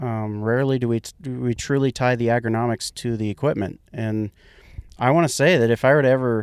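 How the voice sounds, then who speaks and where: In a dry, close sound with no echo, a man with a plain, everyday voice speaks at a moderate pace and medium pitch with fairly even intonation. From central Kansas. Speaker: agronomist. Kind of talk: casual chat.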